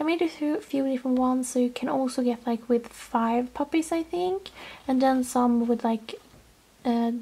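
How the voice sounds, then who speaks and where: A woman talks at a moderate pace in a high pitch with ordinary pitch variation. Background noise is noticeable. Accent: Swedish. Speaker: toy collector video host. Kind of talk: casual show-and-tell. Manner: enthusiastic, chatty.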